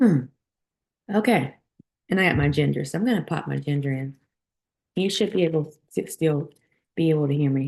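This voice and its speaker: A woman speaks in a very deep, low pitch that is somewhat breathy. Her intonation is lively, broken by long, frequent pauses. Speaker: content creator. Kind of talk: casual chat. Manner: halting.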